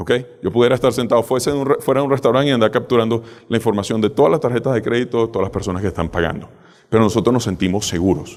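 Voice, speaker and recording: The talking is very fast. Pitch variation stays ordinary. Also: man, medium pitch for a man. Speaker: cybersecurity speaker. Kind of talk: conference talk.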